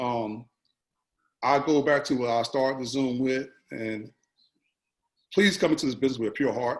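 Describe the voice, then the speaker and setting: A man at medium pitch and a moderate pace, with ordinary pitch variation and long, frequent pauses. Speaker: basketball assistant coach. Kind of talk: panel discussion. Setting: video call. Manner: mumbling.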